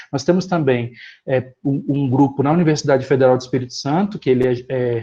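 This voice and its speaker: Here a man speaks at medium pitch in a dark, mellow tone that is somewhat breathy. His pace is fairly quick, with ordinary pitch variation. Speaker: professor. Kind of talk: lecture. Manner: fast.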